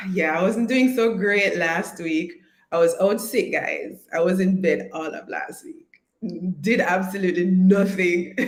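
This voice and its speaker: The delivery is fairly slow, animated and somewhat breathy, with big swings in loudness. Audible room echo surrounds the voice. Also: woman, medium pitch for a woman, ordinary pitch variation. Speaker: online course coach. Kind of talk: live stream chat.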